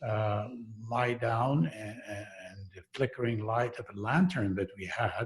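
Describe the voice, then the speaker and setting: A man talks very slowly and somewhat breathily, with ordinary pitch variation and big swings in loudness. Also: medium pitch for a man. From western Iran, Kurdish. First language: Kurdish. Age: 60s. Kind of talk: personal testimony in a talk. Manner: halting, many fillers.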